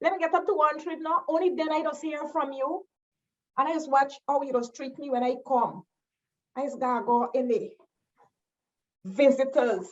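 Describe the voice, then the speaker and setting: There are long, frequent pauses as a woman speaks at a moderate pace with a Guyanese accent. Her voice is high-pitched, with ordinary pitch variation. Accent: Guyanese Creole. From Guyana. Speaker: educator and cultural storyteller. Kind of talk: spoken-word poetry performance. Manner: playful, conversational.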